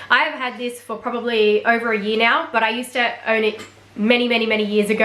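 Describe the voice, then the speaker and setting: A woman with an Australian accent talks very fast at a fairly high pitch in a monotone, flat intonation. Noticeable background noise and audible room echo surround her. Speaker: fashion vlogger. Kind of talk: product review.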